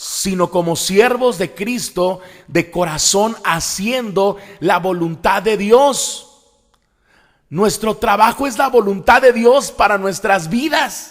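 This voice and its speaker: A man speaks very slowly in a high voice. His pitch varies in an ordinary way. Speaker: evangelical pastor and preacher. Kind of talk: sermon-style preaching / teaching.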